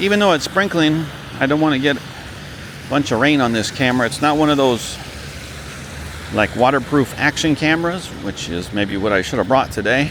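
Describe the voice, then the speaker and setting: Fairly quick speech broken by long, frequent pauses, over noticeable background noise. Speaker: walking tour vlogger. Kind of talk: casual vlog narration. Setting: outdoors, walking in light rain. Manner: louder than normal.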